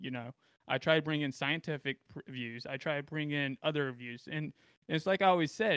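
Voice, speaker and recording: With an American accent and a normal speaking voice, a man talks at a moderate pace with a fairly high pitch and ordinary pitch variation, the sound dry and close with no echo. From US South. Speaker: podcast co-host. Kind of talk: panel discussion on politics.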